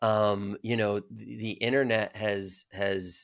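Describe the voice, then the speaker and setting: Here is a man with an American accent. His voice sits fairly low and his pace is very slow. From upstate New York. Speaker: entrepreneur and author. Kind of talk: interview. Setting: remote call.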